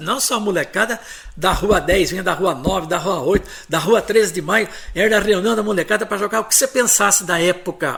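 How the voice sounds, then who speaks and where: Pitched high with ordinary pitch variation, a man talks at a moderate pace. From Santa Bárbara d'Oeste, São Paulo state, Brazil. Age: 70s. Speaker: retired journalist and historian. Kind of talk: interview, personal memories.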